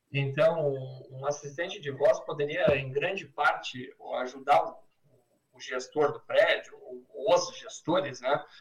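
A man speaks very slowly, with long, frequent pauses and big swings in loudness. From Porto Alegre, southern Brazil. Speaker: entrepreneur. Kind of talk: interview.

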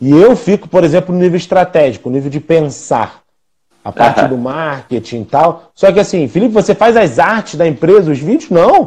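With a dark, mellow tone and a high pitch, a man talks at a fairly quick pace using lively intonation. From Rio de Janeiro, Brazil. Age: 40s. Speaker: physiotherapist and clinic owner. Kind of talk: live interview.

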